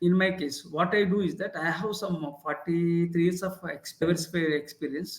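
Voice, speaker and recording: With hardly any pauses, a high-pitched man speaks at a moderate pace. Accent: Indian. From India. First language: Indian language. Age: 60s. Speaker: leadership professor and author. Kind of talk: interview. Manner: halting, with many fillers.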